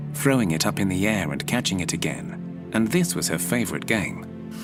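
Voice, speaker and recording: Backed by music, a man talks at a moderate pace with very wide pitch swings. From British. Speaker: storyteller. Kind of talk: sleep story. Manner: soft-spoken.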